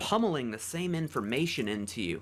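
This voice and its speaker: A man speaks at a moderate pace in a fairly high voice with vocal fry, his pitch swinging very widely. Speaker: musician. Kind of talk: podcast interview.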